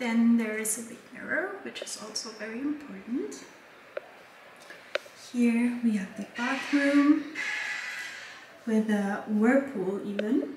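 Delivered at a slow pace with long, frequent pauses, the voice has a slightly mellow tone and ordinary pitch variation, set in a strong room echo. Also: woman, fairly high pitch for a woman.

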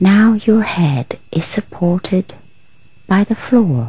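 Soft-spoken, a woman talks at a very slow pace with lively intonation. Her pitch sits in the medium range. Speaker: relaxation guide. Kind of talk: guided relaxation. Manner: quiet, soft-spoken.

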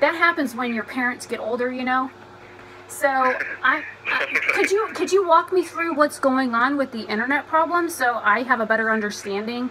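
A raised, projected voice with lively intonation at a moderate pace over noticeable background noise. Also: woman. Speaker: vlogger baiting a scammer. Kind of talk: phone conversation. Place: home room. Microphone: phone near.

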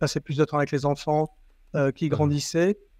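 This man's voice sits fairly high and moves at a moderate pace. The background is quiet, and the sound is dry with no echo. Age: 50s. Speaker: company CEO; guest. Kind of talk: interview. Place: home room. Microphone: earbuds.

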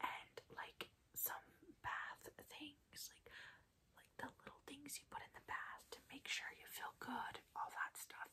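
The speaker whispers. The pace is very slow. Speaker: ASMR creator. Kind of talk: ASMR roleplay with whispered ramble. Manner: whispered, soft-spoken.

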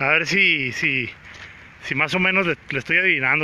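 In a dry recording with no echo and light background noise, a man speaks with ordinary pitch variation. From Mexico, Sonora (Guaymas); Sonora, Mexico. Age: 30s. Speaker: actor and vlogger; actor, vlogger. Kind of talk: live-streamed walking vlog. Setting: outdoors on a city walk. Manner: casual, chatty. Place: street. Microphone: phone near.

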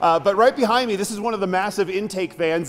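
The man's pitch shows ordinary variation. He moves along at a fairly quick pace. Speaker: TV news reporter. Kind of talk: live news stand-up. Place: tunnel cave.

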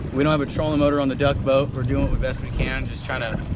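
There is noticeable background noise as a man speaks. The sound is dry, with no echo. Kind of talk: casual interview answer. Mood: relaxed, thoughtful. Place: boat.

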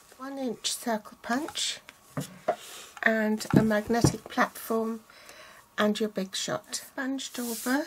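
A woman speaks at a very slow pace with long, frequent pauses. Loud background noise fills the recording. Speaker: craft demonstrator. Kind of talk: tutorial.

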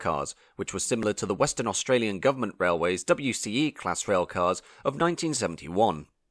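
A man with a British accent talks at a moderate pace, his pitch swinging very widely. The recording is very clean with a silent background and a dry, close sound with no echo. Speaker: railway history video narrator. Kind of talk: scripted narration. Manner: formal.

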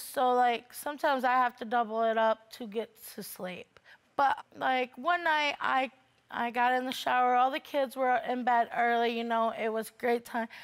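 A woman speaks at a moderate pace in a high voice with fairly even intonation. She leaves long, frequent pauses against a quiet background. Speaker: litigant on a court show. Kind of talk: courtroom testimony. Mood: aggrieved, complaining. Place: studio.

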